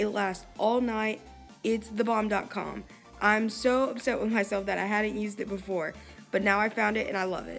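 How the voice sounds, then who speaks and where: Over music in the background, a woman speaks at a moderate pace in a fairly high pitch. Her intonation is monotone and flat. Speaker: makeup tutorial host. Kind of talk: makeup tutorial voiceover.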